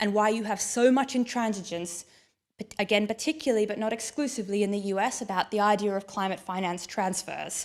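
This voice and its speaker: A woman with an Australian accent, medium pitch, ordinary pitch variation and a fairly quick pace. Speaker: keynote speaker on climate finance. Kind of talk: conference keynote talk.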